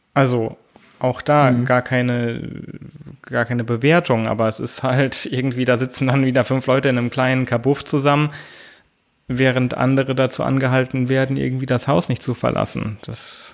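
At a moderate pace, a man speaks in a monotone, flat delivery at medium pitch. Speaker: podcast co-host. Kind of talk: casual chat. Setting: home office. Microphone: studio microphone.

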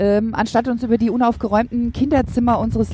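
A woman at a fairly high pitch, a normal speaking voice, with fairly even intonation. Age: 40s. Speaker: motivational trainer and speaker. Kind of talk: casual interview.

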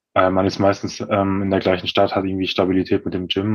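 Very fast delivery in a monotone, flat intonation. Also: man. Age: 30s. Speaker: former bodybuilding athlete. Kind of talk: casual interview.

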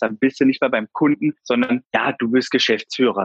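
A man with a plain, everyday voice speaks at medium pitch and fairly even intonation, in a dry, close sound with no echo. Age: 30s. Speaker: insurance broker and business owner. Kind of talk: interview.

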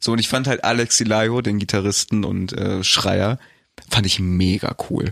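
A man of fairly low pitch speaks slowly-ish, at a fairly slow pace, with fairly even intonation and an ordinary speaking voice. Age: 20s. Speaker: podcast co-host. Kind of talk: casual chat.

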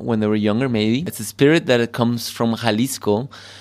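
A man's medium-pitched voice, an ordinary speaking voice with fairly even intonation. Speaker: bar host. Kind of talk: casual tasting chat. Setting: basement bar.

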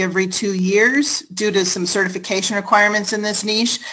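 The speaker has an American accent and talks at a moderate pace. Background noise is noticeable. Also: woman. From United States. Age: 40s. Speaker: business owner and online course creator. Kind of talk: interview.

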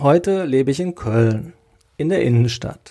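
A man with a fairly high pitch and a dark, mellow tone speaks. His pace is fairly slow and his intonation lively. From Sauerland, Westphalia, Germany. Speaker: podcast host. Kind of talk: solo podcast monologue. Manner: casual, conversational.

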